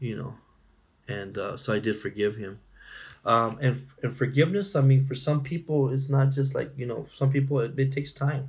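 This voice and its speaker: At a moderate pace, a man talks in a medium-pitched, somewhat breathy voice. His pitch varies in an ordinary way. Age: 40s. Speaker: domestic violence survivor and speaker. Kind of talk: personal testimony in interview.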